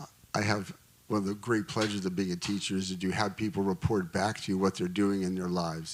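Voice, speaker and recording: In a normal speaking voice, a man with fairly low pitch talks at a fairly quick pace. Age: 50s. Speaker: congressional candidate, teacher. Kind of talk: panel discussion.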